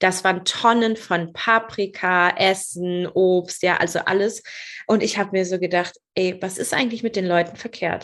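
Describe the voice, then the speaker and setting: A woman talks in an unremarkable speaking voice at a medium pitch, her intonation fairly level. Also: moderate pace. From northern Germany, rural Lower Saxony. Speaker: business mentor. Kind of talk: podcast interview.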